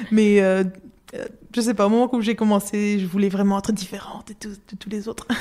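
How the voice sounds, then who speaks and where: A woman talks at a fairly quick pace in a medium-pitched voice with a dark, mellow tone. Her intonation is monotone and flat, while her loudness swings widely. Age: 20s. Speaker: illustrator. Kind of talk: interview. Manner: halting.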